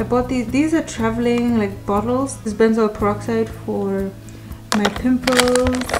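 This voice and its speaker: A woman's speech unfolds at a moderate pace while clear music sits in the background. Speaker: travel vlogger. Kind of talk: casual vlog chat. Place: home room. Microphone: phone near.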